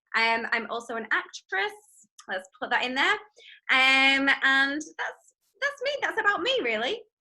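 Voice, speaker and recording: Projecting her voice in an English accent, a woman with a high pitch and a bright, sharp tone speaks at a fairly slow pace, her pitch swinging very widely. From northwest England, near Manchester. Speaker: fitness instructor. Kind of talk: casual interview chat. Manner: hesitant, many fillers.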